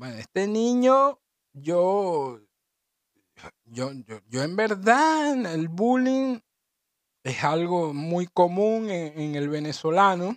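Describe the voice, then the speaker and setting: An animated man's voice, high-pitched with very wide pitch swings, in a dry, close sound with no echo. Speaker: podcast host. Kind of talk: casual solo monologue.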